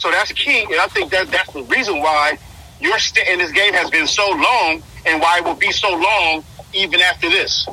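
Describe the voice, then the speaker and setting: A man raises and projects his high-pitched voice with lively intonation at a moderate pace. Noticeable background noise runs underneath. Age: 40s. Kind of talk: casual chat. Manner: halting, repeats words.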